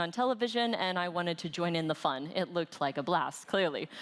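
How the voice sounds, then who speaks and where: A woman with an ordinary speaking voice delivers her words fairly quickly, her intonation lively. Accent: American. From United States. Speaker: conference speaker, trainer. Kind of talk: conference talk.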